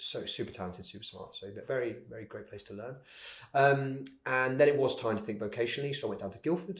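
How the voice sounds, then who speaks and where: Talking at a very fast pace, a man with a medium-pitched, somewhat breathy voice shows big swings in loudness and ordinary pitch variation. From Cornwall, England. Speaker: entrepreneur. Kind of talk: interview. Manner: hesitant with many ums and repeats.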